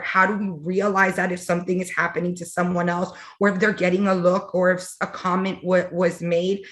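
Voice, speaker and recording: A woman with a Miami accent, fairly low in pitch, at a fairly quick pace. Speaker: fraternity alumna working in tech. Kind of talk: panel discussion.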